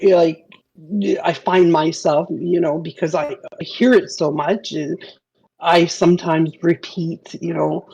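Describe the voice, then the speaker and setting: Speaking at a fairly slow pace, a woman has a fairly low pitch and fairly even intonation. Her tone is dark and mellow. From Canada. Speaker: game developer. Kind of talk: podcast interview.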